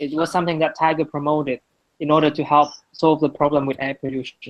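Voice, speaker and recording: Someone with a Vietnamese accent talks at a moderate pace. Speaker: guest speaker on marketing projects. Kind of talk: presentation. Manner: halting, many repetitions.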